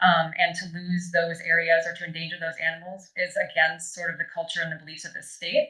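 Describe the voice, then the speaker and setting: A woman with an Upper Midwest accent, fairly low pitch, bright, sharp tone, monotone, flat intonation, fairly quick pace, hardly any pauses and big swings in loudness. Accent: Upper Midwest American. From northern Wisconsin. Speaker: member of the public giving testimony. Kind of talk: public hearing testimony. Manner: fast.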